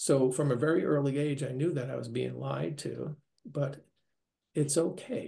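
A man with an American accent talks at a moderate pace against a quiet background. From US Northeast, New York; later Minnesota. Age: 60s. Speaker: near-death experiencer, retiree. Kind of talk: interview testimony. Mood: earnest, reflective. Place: home room. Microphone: webcam.

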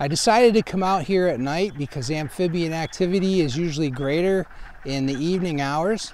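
Here a man speaks in a high voice at a moderate pace with ordinary pitch variation. The sound is dry, with no echo. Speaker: nature educator. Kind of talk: nature show presentation. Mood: calm, explanatory. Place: forest.

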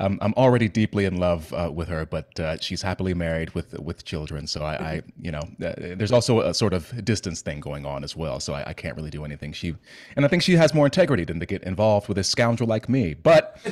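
Against a quiet background, a man with a very deep, low voice talks at a very fast pace, with lively intonation and big swings in loudness. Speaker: podcast host. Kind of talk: podcast intro chat. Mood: playful, joking. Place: home room. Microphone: studio mic.

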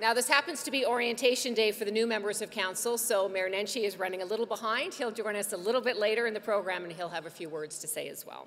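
A woman talks at a very fast pace with hardly any pauses, her loudness swinging widely and her pitch varying in an ordinary way, over light background noise. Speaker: event moderator. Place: hall. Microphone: podium.

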